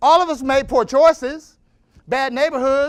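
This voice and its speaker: The man speaks at an extremely high pitch, in an animated tone. His pace is fairly slow. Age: 50s. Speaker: motivational speaker. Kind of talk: motivational speech.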